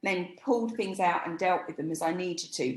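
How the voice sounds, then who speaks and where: A woman with an English accent and ordinary pitch variation. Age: 60s. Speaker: image stylist. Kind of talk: interview.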